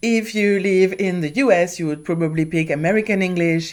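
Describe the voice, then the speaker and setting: A woman speaks with a non-native accent at a fairly low pitch and moderate pace, with ordinary pitch variation. The recording is very clean, with a silent background. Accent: foreign accent, non-native English. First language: not English. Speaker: author and YouTuber. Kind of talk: tutorial vlog. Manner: casual, conversational.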